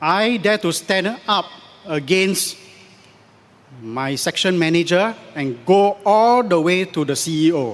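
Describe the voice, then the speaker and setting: Talking at a very slow pace, a man with a high pitch leaves long, frequent pauses and uses lively intonation. Noticeable background noise runs underneath. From Singapore. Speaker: election candidate. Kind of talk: political rally speech.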